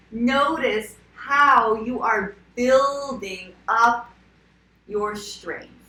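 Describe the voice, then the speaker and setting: Speaking at a very slow pace, a woman with a fairly high pitch uses ordinary pitch variation amid audible room echo. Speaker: skincare and wellness coach. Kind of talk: casual talk to camera. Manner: filler-heavy, repetitive.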